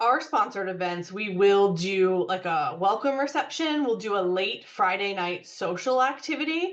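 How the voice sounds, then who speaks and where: Her intonation lively, a woman speaks at a medium pitch. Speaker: university parent and family resources staff. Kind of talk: webinar presentation with Q&A. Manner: fast.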